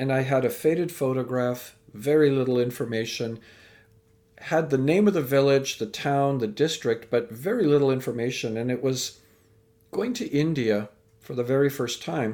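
A man with a Canadian accent speaks at a moderate pace and medium pitch, using ordinary pitch variation. His tone is dark and mellow. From Canada. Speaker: speaker and educator. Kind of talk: interview.

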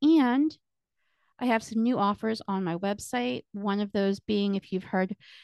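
Against a quiet background, a woman with a plain, everyday voice talks at a fairly slow pace, her fairly high pitch moving with lively intonation in a dry, close sound with no echo. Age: 40s. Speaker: podcast host and community strategist. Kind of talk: solo podcast monologue, partly reading book excerpts. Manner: casual with filler words.

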